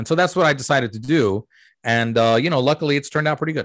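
Against a quiet background, a man with an American accent speaks with lively intonation. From US. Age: 40s. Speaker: comedian. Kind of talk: interview conversation.

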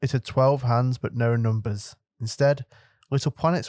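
Against a quiet background, the plain reading aloud keeps a fairly even intonation.

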